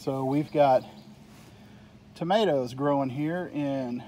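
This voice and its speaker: A man's voice with ordinary pitch variation and light background noise. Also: dry sound with no echo. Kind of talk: casual vlog chat. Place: garden. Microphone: phone near.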